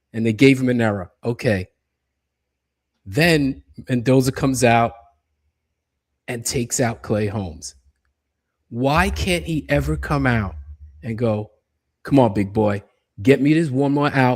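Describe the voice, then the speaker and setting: Pausing long and often, a man with a medium pitch talks at a fairly slow pace in an animated tone with lively intonation. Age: 60s. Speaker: baseball fan commentator. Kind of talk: casual chat.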